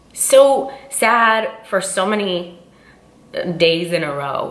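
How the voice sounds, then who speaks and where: Noticeable background noise runs under a woman speaking at a medium pitch. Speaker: fitness vlogger. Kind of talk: casual chat.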